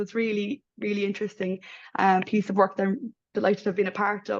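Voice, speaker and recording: The speaker has an Irish accent and talks at a fairly quick pace. The background is quiet. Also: woman. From Ireland. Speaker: midwife researcher. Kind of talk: panel presentation. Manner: hesitant, many fillers.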